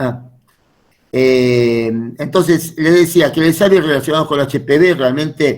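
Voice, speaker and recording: This is an ordinary speaking voice at a fairly slow pace. Its pitch variation is ordinary. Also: man. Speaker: medical lecturer. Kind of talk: lecture.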